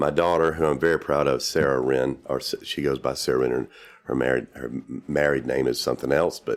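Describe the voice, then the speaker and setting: Talking at a fairly quick pace in a South Carolina accent, a man with a very deep, low pitch and vocal fry keeps his intonation fairly even. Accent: Southern US (South Carolina). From US South, South Carolina. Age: 60s. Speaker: real estate developer. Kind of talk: interview. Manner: halting, many fillers.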